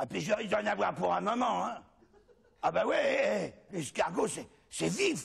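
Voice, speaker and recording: A man puts on a raspy character voice. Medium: stage play. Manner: rambling, joking.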